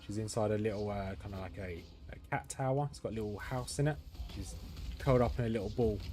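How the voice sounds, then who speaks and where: Music plays behind a man whose pitch sits fairly low. He talks at a very fast pace, and his loudness swings widely. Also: ordinary pitch variation. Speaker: gaming streamer. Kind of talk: live gameplay commentary. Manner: casual, thinking aloud.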